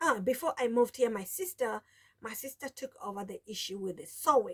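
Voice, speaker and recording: A woman with a Kenyan accent speaks at a moderate pace, and the sound is dry and close with no echo. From Kenya, coast (Mombasa, Taita). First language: Taita (mother tongue), also Swahili. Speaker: sewing vlogger. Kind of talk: casual vlog talk. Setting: home sewing room. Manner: halting, many restarts.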